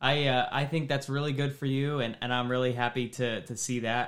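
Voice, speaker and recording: A man speaks in a Midwestern American accent at a medium pitch and moderate pace. His intonation is monotone and flat, on a very clean recording with a silent background. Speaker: podcast host, mortgage professional. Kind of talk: casual chat.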